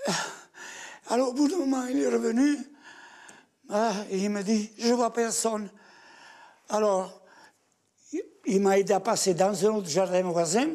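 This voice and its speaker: A man with a high pitch and a dark, mellow tone speaks at a very slow pace with lively intonation, long, frequent pauses and big swings in loudness. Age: 80s+. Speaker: massacre survivant. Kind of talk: testimony. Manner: halting, repetitive.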